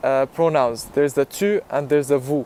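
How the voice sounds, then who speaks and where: Dry and close with no echo, a man's voice shows ordinary pitch variation over noticeable background noise. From Jordan. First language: Arabic. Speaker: YouTuber. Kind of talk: personal vlog talk. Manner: casual, with filler ums.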